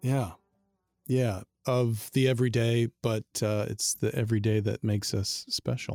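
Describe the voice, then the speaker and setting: Music plays in the background as a man speaks at a fairly slow pace. His pitch is medium, and the sound is dry and close with no echo. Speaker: podcast host. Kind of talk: interview conversation.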